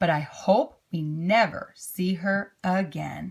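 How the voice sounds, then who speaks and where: In a raspy, put-on character voice, a woman speaks at a fairly slow pace. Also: medium pitch for a woman. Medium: read story. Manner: prim, genteel.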